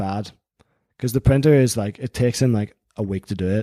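With a Northern Irish accent and a dark, mellow tone, a man talks at a fairly quick pace with ordinary pitch variation. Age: 20s. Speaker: magazine editor and accountant. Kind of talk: interview conversation.

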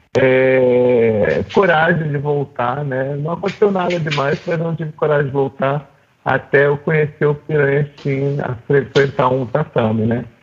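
Against noticeable background noise, a man with a fairly high pitch speaks at a fairly slow pace with fairly even intonation. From Rio de Janeiro, Zona Sul. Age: 50s. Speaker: jiu-jitsu student. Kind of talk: casual interview conversation. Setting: video call.

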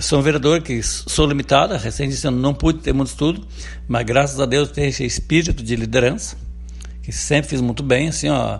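Noticeable background noise beneath a man's fairly quick delivery. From Rio Grande do Sul, rural interior. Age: 50s. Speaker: city councillor. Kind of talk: radio interview. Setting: interview outside the studio.

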